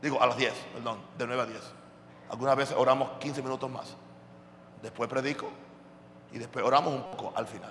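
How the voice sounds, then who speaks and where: Amid noticeable background noise and audible room echo, a man speaks in an animated tone at a medium pitch and a fairly quick pace, with long, frequent pauses and big swings in loudness. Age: 60s. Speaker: pastor. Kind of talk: sermon.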